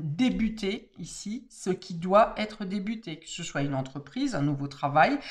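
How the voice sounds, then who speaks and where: The voice belongs to a woman and carries some breathiness. Her pitch rises and falls in a lively way. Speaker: tarot card reader. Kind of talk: tarot reading monologue. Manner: hesitant, many fillers.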